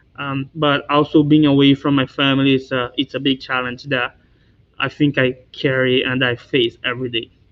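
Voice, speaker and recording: Monotone, flat intonation marks this voice with a Brazilian Portuguese accent. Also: man, medium pitch for a man, moderate pace. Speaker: university student. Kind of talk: panel discussion. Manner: halting.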